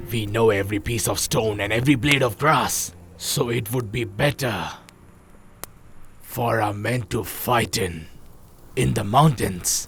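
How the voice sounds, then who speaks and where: Using a put-on character voice, a man talks at a fairly slow pace with long, frequent pauses. His pitch sits in the medium range. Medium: fan dub. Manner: blunt, decisive.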